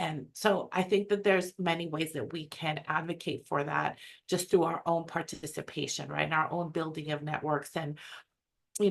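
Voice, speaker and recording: A woman's very deep, low voice with vocal fry and ordinary pitch variation. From US West Coast, San Francisco Bay Area. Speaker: academic webinar presenter. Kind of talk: webinar presentation. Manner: fast.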